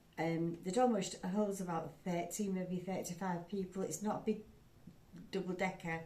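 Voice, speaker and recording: A woman's medium-pitched voice with a Yorkshire accent. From England. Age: 70s. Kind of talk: casual talk to camera.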